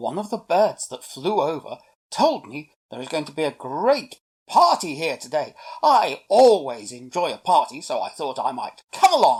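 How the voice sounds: A woman puts on a character voice pitched low, with big pitch swings, a slightly husky edge, a slightly mellow tone, and a moderate pace.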